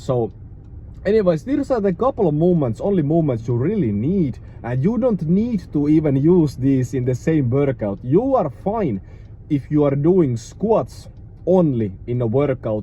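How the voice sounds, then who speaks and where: This man's voice is fairly high in pitch, dark and mellow in tone, and somewhat breathy, with a non-native accent and very wide pitch swings. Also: moderate pace. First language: not English. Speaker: fitness YouTuber, strength coach. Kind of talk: casual tutorial. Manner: halting, many fillers.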